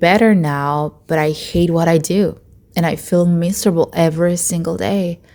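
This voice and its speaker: Speaking very slowly, a woman keeps her pitch fairly low. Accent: Spanish. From Latin America. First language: Spanish. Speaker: vlogger, tech worker. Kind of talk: personal vlog monologue. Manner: hesitant, with fillers.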